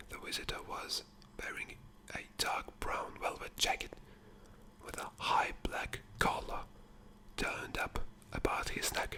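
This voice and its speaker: A man whispers at a fairly slow pace, with long, frequent pauses. Noticeable background noise sits behind him. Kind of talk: asmr book reading. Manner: whispered, soft.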